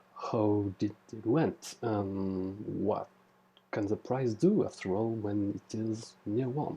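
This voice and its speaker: Someone with a French accent speaks at a very slow pace with ordinary pitch variation, over noticeable background noise. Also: man. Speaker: trading tutorial creator. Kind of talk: tutorial. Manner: halting, many fillers. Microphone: poor recording quality.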